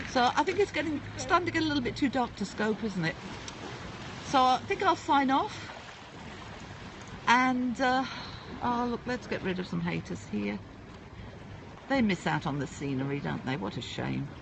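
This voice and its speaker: With a British accent, a woman speaks with long, frequent pauses over noticeable background noise. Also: moderate pace. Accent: UK. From England (UK). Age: 60s. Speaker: livestreamer. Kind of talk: casual live-stream chat. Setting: outdoors at a seaside port.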